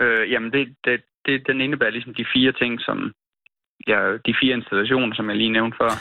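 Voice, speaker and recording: At a fairly quick pace broken by long, frequent pauses, a man speaks at medium pitch in a monotone, flat intonation. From Denmark, near Hornsyld.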